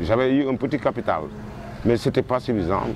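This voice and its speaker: Noticeable background noise accompanies a man speaking at a fairly quick pace with lively intonation. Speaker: returned migrant interviewee. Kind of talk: interview testimony.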